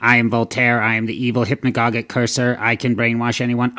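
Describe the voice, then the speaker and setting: Recorded very cleanly against a silent background, a cartoonish character voice talks at a fairly quick pace in a flat monotone. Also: man, medium pitch for a man. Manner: menacing, grandiose.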